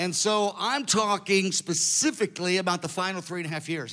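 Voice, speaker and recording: A man talks at a moderate pace in a high pitch, with a bright, sharp tone and ordinary pitch variation. The recording is very clean, with a silent background. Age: 60s. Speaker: preacher. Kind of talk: sermon. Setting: stage with audience.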